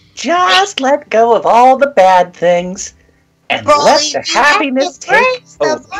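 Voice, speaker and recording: A put-on character voice, high-pitched and cheerful, with very wide pitch swings. The pace is fairly slow. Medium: actual play. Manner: cheerful, carefree.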